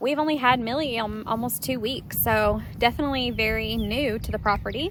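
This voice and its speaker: Audible room echo surrounds a woman talking at a fairly quick pace with vocal fry and fairly even intonation. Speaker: horse-owning vlogger. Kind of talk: casual vlog talk. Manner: loud.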